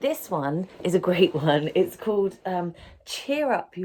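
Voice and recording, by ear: Text read out, reading aloud in a natural voice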